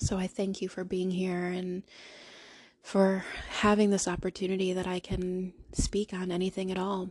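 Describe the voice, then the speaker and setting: A woman talks at a medium pitch. Her intonation is monotone and flat. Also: moderate pace. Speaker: podcast host. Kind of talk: solo monologue. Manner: halting.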